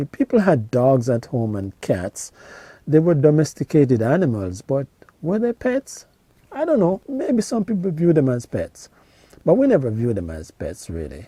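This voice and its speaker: Somewhat breathy and dark, mellow in tone, the voice carries a Jamaican accent with very wide pitch swings at a moderate pace, in a dry, close sound with no echo. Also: man, fairly high pitch for a man. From rural Jamaica. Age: 50s. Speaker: YouTuber reminiscing on childhood. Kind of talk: casual storytelling monologue. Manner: halting, many fillers and repetitions.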